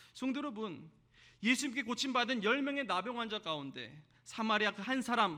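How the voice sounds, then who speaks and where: Raising and projecting his voice, a man with a high pitch and a bright, sharp tone speaks at a moderate pace with lively intonation. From South Korea, Jeolla region. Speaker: pastor. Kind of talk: sermon.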